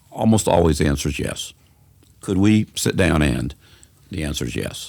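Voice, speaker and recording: A man with a coastal Georgia accent speaks with very deep, low pitch, vocal fry and lively intonation. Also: moderate pace. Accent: Southern US (coastal Georgia). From US South, Savannah, Georgia. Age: 70s. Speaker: community organizer. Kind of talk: podcast interview.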